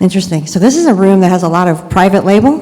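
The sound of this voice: Soft-spoken, a woman talks fast with lively intonation and a dark, mellow tone, with audible room echo around her. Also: medium pitch for a woman.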